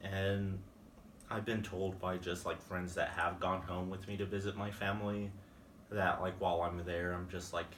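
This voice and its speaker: Over audible room echo, a man with a very deep, low pitch speaks at a moderate pace in a monotone, flat intonation. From Van Horn, West Texas. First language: Spanish. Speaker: college student. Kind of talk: interview. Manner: hesitant, many fillers.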